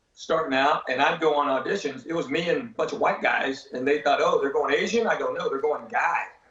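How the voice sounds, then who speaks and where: A man is talking here. His accent is Southern US. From Tennessee, USA. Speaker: stand-up comedian. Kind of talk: interview answer.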